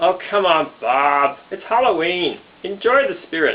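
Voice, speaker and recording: In a cartoonish character voice, the speaker holds a middle pitch at a moderate pace. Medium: puppet. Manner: playful.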